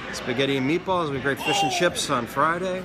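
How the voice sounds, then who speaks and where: A man talks at a moderate pace. Loud music plays in the background. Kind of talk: interview answer. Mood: friendly, upbeat. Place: cafe.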